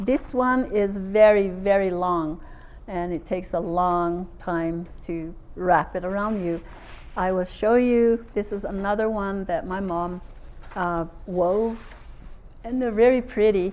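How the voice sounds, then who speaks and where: Pitched in the middle range for a woman, this voice carries a Southwestern US accent. She talks at a very slow pace with ordinary pitch variation. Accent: Navajo-accented English. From Navajo Nation, southwestern US. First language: Navajo. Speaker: traditional storyteller and translator. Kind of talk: public lecture presentation. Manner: casual, hesitant.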